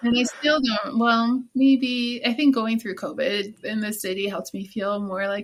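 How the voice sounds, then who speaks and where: A somewhat breathy woman's voice of fairly high pitch, with ordinary pitch variation and a moderate pace. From US Midwest, Chicago area. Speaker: business founder and industrial designer. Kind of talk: podcast interview. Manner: casual, conversational.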